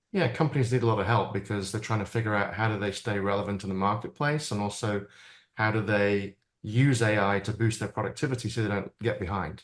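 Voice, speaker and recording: A man with a British accent at a very fast pace, fairly low pitch and fairly even intonation, quiet background. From Britain. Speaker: AI futurist and keynote speaker. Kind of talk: interview conversation.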